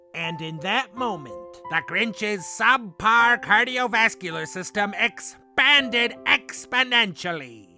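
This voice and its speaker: Putting on a character voice, a man projects a raised, high voice at a fairly slow pace with hardly any pauses while faint music plays in the background. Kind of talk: parody storybook narration.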